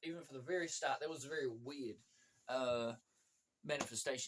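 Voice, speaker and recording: This man's pitch is fairly high. He talks at a fairly quick pace. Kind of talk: testimony. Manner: fast; halting, many fillers.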